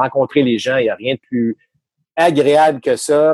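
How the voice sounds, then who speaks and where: This is a plain, everyday voice at a moderate pace with ordinary pitch variation. The sound is dry and close, with no echo. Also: man. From Quebec City region. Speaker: baseball analyst, former player. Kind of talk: casual interview. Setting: video call.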